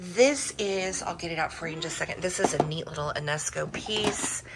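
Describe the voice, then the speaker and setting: A woman talks while noticeable background noise runs underneath. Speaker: vintage reseller. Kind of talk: casual haul vlog chat. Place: home room. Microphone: phone near.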